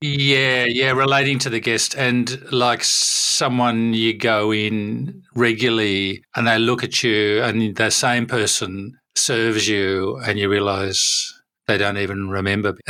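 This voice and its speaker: An Australian accent marks this man's bright, sharp tone as he speaks at a medium pitch and a very slow pace, with hardly any pauses, fairly even intonation and very even loudness. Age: 60s. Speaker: hospitality business educator. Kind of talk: podcast interview.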